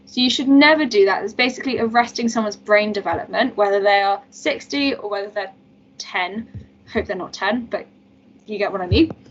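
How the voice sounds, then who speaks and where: Her pace is fairly quick, and she has a normal speaking voice. The woman's pitch sits fairly high and moves with ordinary variation. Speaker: medical student tutor. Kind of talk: lecture.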